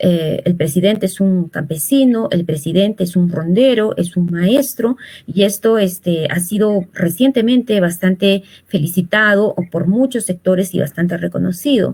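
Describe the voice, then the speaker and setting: A fairly slow, somewhat breathy voice keeps its loudness very even while its pitch varies in an ordinary way. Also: woman, medium pitch for a woman. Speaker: social communicator, political commentator. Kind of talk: political interview. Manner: hesitant, many fillers.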